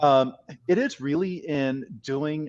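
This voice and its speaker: A man speaks with a San Francisco accent. The sound is dry and close with no echo, over a quiet background. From US West Coast, San Francisco. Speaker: career and life coach. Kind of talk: podcast interview chat.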